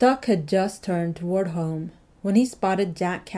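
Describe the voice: Plain reading aloud fills the clip, its pitch varying in an ordinary way.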